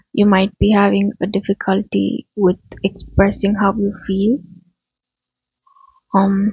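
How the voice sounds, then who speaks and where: A woman speaks quietly in a somewhat breathy, medium-pitched voice with monotone, flat intonation. Her loudness stays very even, broken by long, frequent pauses. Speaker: spiritual reader. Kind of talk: channeled spiritual message. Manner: quiet, low volume; halting, choking on words.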